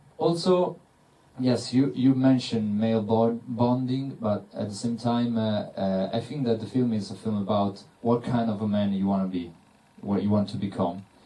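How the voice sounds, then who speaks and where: A man with an Italian accent speaks at a medium pitch and a moderate pace. His tone is dark and mellow, with ordinary pitch variation. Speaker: film director. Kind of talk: panel Q&A. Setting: cinema Q&A with audience. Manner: halting, many fillers.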